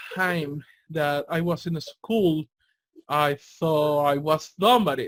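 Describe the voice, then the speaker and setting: This man has a Spanish accent. His pitch is fairly high. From Latin America. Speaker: interview show host. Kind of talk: interview conversation.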